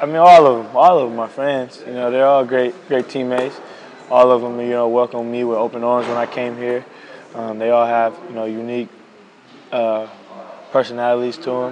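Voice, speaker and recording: Moderate pace and fairly even intonation, broken by long, frequent pauses, against noticeable background noise. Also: man, medium pitch for a man. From United States. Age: 20s. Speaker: basketball player. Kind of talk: interview. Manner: casual, many fillers.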